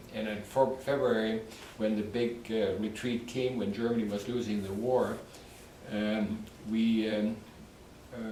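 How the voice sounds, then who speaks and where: A man at a medium pitch, fairly slow and monotone, with flat intonation, long, frequent pauses, audible room echo and noticeable background noise. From Poland. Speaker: war survivor. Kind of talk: testimony. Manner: halting.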